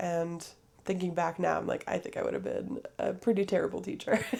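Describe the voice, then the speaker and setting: A woman's voice in a very clean recording with a silent background. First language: French. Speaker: podcaster. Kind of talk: casual monologue. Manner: hesitant, many fillers.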